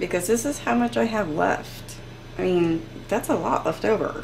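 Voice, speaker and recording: A woman talks at a moderate pace. There is light background noise. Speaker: cooking video creator. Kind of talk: cooking tutorial. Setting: home kitchen. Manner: animated. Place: kitchen.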